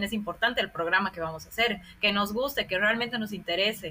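A woman speaks at a very fast pace. Her pitch is medium, with ordinary variation. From Bolivia. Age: 30s. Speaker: sociologist and scholarship advisor. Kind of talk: interview.

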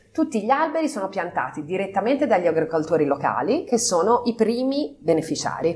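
Speaking fairly quickly with hardly any pauses, a woman at a medium pitch makes very wide pitch swings over noticeable background noise. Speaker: company partner, business executive. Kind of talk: interview. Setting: on location at company office.

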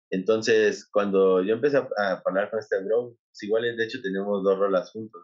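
At a moderate pace with hardly any pauses, a man speaks in a plain, everyday voice at a fairly low pitch with fairly even intonation. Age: 20s. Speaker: DJ and music producer. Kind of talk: casual chat.

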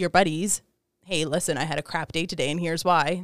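The woman's pitch is very deep and low, and she talks at a fairly quick pace. The sound is dry and close with no echo. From Serbia. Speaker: engineer. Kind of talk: casual chat.

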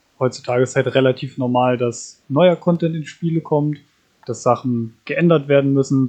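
An unremarkable speaking voice from a man, medium in pitch, at a moderate pace with fairly even intonation. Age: 20s. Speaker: podcast co-host, gamer. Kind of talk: casual chat.

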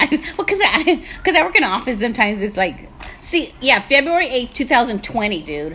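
Over noticeable background noise, a woman speaks at a moderate pace in a raised, projected voice. Her high pitch makes very wide pitch swings. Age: 60s. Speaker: podcast co-host, comedian. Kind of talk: casual chat.

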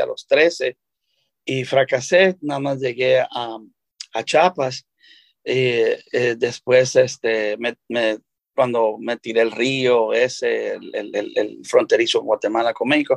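At a fairly slow pace, a man speaks with a dry, close sound and no echo. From El Salvador. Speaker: chef. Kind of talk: interview. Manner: halting, many fillers.

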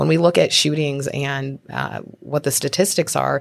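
Her pitch is very deep and low for a woman, with ordinary variation and vocal fry. The recording is very clean, with a silent background. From Spokane, Washington. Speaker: congressional candidate and lawyer. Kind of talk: interview.

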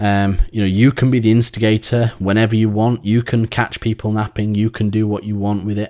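A man with an English accent speaks in a fairly low, dark, mellow voice with monotone, flat intonation. He hardly pauses, and the recording is very clean with a silent background. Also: fairly quick pace. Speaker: cycling coach and podcast host. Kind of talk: solo podcast monologue. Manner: halting with many fillers.

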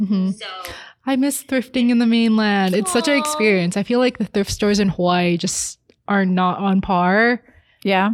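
Ordinary pitch variation in a normal speaking voice from a woman. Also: medium pitch for a woman, moderate pace. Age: late 20s. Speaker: podcast co-host. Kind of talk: casual chat.

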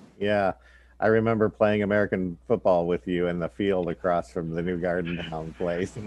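At a moderate pace, a man with a very deep, low pitch speaks with fairly even intonation in a dry, close sound with no echo. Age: 50s. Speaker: podcast host. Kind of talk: casual chat.

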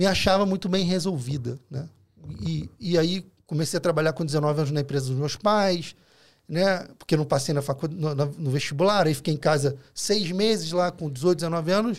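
A Rio de Janeiro accent at a moderate pace, with ordinary pitch variation, on a very clean recording with a silent background. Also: man. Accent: Carioca Brazilian Portuguese. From Rio de Janeiro, Brazil. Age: 40s. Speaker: food delivery entrepreneur. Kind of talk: casual chat. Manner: halting.

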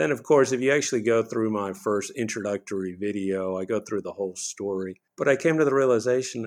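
A man speaks in an unremarkable speaking voice at a moderate pace, medium in pitch with ordinary variation. The background is quiet. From Texas (Houston), child of Bolivian immigrants. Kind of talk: interview.

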